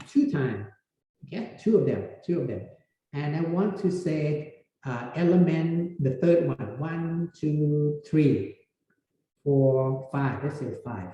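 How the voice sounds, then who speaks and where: This man has a fairly high pitch and a dark, mellow tone that is somewhat breathy. He talks very slowly, with lively intonation. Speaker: university lecturer. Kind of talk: lecture. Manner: halting.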